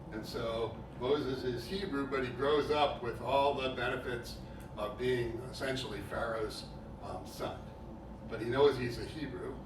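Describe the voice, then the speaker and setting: A man at a medium pitch and a fairly slow pace, with fairly even intonation, audible room echo and noticeable background noise. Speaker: preacher. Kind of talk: sermon. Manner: loud.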